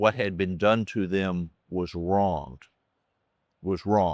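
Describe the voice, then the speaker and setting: A man with a Southern US accent speaks at a very slow pace in a very deep, low voice with fairly even intonation, the sound dry and close with no echo against a quiet background. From US South. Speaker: optometrist. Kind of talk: interview conversation. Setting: recorded at a conference in Nashville. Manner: halting, many fillers and repetitions.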